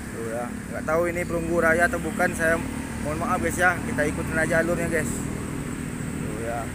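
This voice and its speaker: A man with a Palembang accent talks at a high pitch and moderate pace. Audible room echo and noticeable background noise are present. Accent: Palembang accent, somewhat rough-sounding. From Palembang, South Sumatra. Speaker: vlogger. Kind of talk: casual walking vlog. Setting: outdoors, walking along a street.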